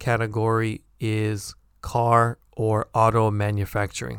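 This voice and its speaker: Speaking in a General American accent, a man talks at a medium pitch. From San Francisco, California. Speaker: English teacher podcaster. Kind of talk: tutorial, pronunciation lesson. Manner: clear, slow, deliberate.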